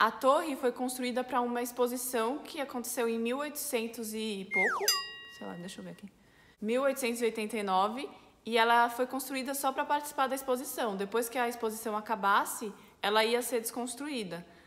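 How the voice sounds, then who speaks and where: Over music in the background, a woman speaks at a high pitch and a fairly quick pace. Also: ordinary pitch variation. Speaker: French teacher. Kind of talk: language lesson to camera. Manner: casual, friendly.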